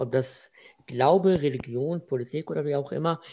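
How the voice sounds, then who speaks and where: Against a quiet background, a man talks at a moderate pace with a fairly high pitch and lively intonation. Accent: Arabic. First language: Arabic (speaking German). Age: 20s. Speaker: student and freelance web developer. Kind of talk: casual interview. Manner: halting.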